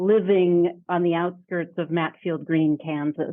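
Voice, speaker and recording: This woman has a normal speaking voice. Her pitch sits in the medium range. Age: 60s. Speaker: leadership development executive. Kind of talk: podcast interview.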